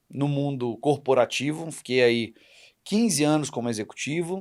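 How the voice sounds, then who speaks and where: This man has an unremarkable speaking voice, fairly high in pitch. His pitch variation is ordinary. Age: 40s. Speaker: entrepreneur and public speaking school owner. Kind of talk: podcast interview.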